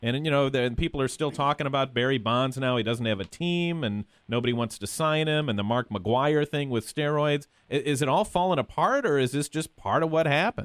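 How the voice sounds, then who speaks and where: A man with an unremarkable speaking voice, fairly high pitch, moderate pace, ordinary pitch variation, and hardly any pauses. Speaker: radio host. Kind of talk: radio interview, casual chat.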